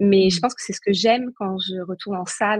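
A woman's somewhat breathy voice is recorded with a dry, close sound and no echo. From Brittany, Saint-Nazaire. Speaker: paleoanthropologist and leadership coach. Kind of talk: casual chat. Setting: live video stream.

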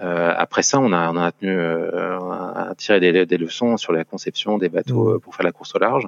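A man with a very deep, low voice talks at a moderate pace with ordinary pitch variation and hardly any pauses. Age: 40s. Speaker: sailor. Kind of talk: casual chat. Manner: halting.

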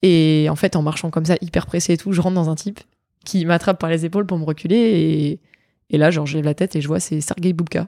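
On a very clean recording with a silent background and a dry, close sound with no echo, a woman speaks at a fairly quick pace, her fairly low voice dark and mellow, with fairly even intonation. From southern France, Nice. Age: 20s. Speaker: pole vaulter and medical student. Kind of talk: interview conversation.

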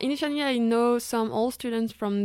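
A woman speaks with a French accent at a moderate pace, her intonation fairly even. The recording is very clean, with a silent background. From France, Savoie (Chambéry). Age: 20s. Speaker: student. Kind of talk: casual interview.

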